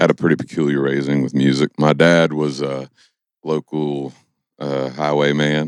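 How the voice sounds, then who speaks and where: A man with a Kentucky accent speaks at a moderate pace in a very deep, low pitch and a monotone, flat intonation, with a dry, close sound and no echo. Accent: Southern US (Kentucky). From Kentucky (Stanford). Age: 20s. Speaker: singer-songwriter. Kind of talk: podcast interview. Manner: casual.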